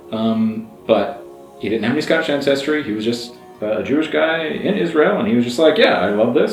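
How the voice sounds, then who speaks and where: Over music in the background, a man talks in an enthusiastic tone at a moderate pace. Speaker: language learner, YouTuber. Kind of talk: casual talk to camera. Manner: enthusiastic, conversational.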